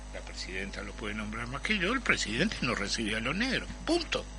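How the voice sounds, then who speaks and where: With a Uruguayan accent, a man talks at a moderate pace amid noticeable background noise and audible room echo. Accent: Rioplatense Spanish (Uruguayan). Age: 70s. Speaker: Afro-Uruguayan activist, former ambassador. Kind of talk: radio panel discussion.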